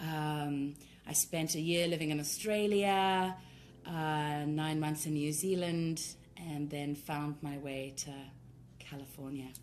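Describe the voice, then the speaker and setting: Speaking at a very slow pace with fairly even intonation, a woman with a South African accent has a very deep, low pitch, and audible room echo surrounds her. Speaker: tantra workshop leader. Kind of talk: casual chat. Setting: live video stream.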